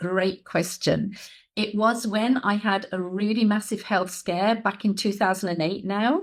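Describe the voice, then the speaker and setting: A woman with an English accent, medium pitch, fairly even intonation and a fairly slow pace, in a very clean recording with a silent background. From England. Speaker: soul healer and mentor. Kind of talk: podcast interview.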